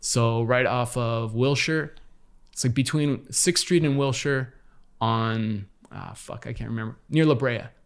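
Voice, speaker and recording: A man with an American accent uses a plain, everyday voice at a medium pitch, speaking fairly slowly with fairly even intonation. The recording is very clean with a silent background. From Los Angeles, US. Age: 50s. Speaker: former graffiti artist. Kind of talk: casual chat.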